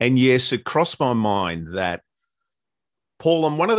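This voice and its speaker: A man with an Australian accent at a moderate pace, his pitch swinging very widely, over a quiet background with a dry, close sound and no echo. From Australia, Melbourne. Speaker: radio disc jockey. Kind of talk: interview.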